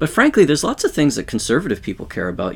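A man speaks with a Canadian accent. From Western Canada. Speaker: sociology professor. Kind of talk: interview.

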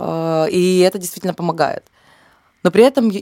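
A woman speaks at a moderate pace with ordinary pitch variation. Her voice is fairly low in pitch. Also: dry, close sound with no echo. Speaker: cultural manager and curator. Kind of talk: interview. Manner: hesitant, many fillers.

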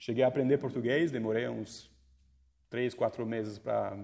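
Long, frequent pauses break up a man's moderately paced speech. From France. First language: French (speaking Portuguese). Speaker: coding school leader. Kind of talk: casual interview. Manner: halting.

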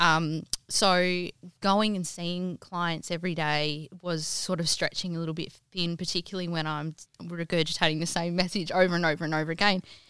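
A woman with an Australian accent speaks at a moderate pace in a bright, sharp tone with monotone, flat intonation. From Western Australia goldfields, Kalgoorlie. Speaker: home stylist and business founder. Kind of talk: interview.

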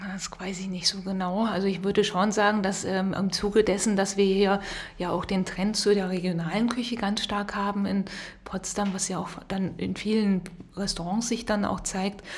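Noticeable background noise accompanies a woman who speaks at a moderate pace in a monotone, flat way at a medium pitch. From Rhineland, western Germany. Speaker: podcast co-host. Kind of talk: casual chat.

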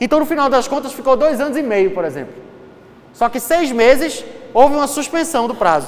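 A man's extremely high-pitched voice in a Pernambuco accent, animated in tone and fairly quick, with ordinary pitch variation and audible room echo. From Recife, Brazil. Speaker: law lecturer. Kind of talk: lecture.

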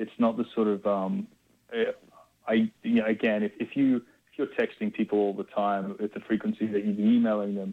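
Talking at a fairly quick pace, a man with an Australian accent comes across in a dry, close sound with no echo. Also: quiet background. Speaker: music label executive. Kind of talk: interview. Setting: phone call. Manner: halting, many fillers.

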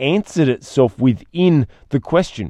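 Against a quiet background, the voice has a dark, mellow tone and a dry, close sound with no echo. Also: man. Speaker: podcast host and speaker trainer. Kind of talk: solo podcast monologue. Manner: occasional stumbles over words.

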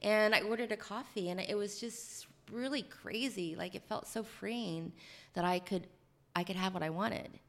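A woman with an American accent has a plain, everyday voice at medium pitch, ordinary pitch variation and a moderate pace. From rural Ohio. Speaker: author and prison reform advocate. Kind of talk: interview storytelling.

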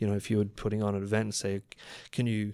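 Speaking with an Australian accent, a man uses a fairly low pitch in a very clean recording with a silent background. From Australia, Queensland Sunshine Coast. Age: 30s. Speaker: drinks company creative director and gin maker. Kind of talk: casual interview.

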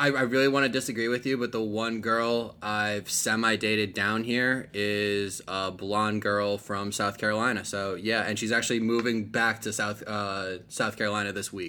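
With an American accent and a fairly low pitch, a man talks at a moderate pace in a flat monotone with hardly any pauses, over noticeable background noise. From New Jersey. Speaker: podcast host. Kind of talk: casual chat.

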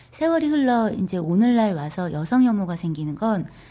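Her voice somewhat breathy with a dark, mellow tone, a woman talks fairly slowly at a fairly high pitch with very wide pitch swings. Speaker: lawyer and author. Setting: studio.

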